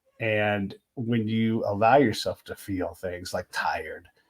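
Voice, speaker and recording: In a very clean recording with a silent background, a man talks in a somewhat breathy voice at medium pitch. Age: 50s. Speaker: podcast host and military veteran. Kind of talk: casual interview conversation.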